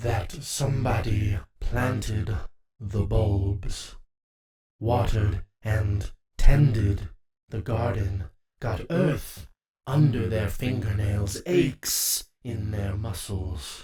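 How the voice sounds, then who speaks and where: A man puts on a character voice at a fairly low pitch. He speaks at a very slow pace. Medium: audio drama. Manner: menacing, mocking, theatrical.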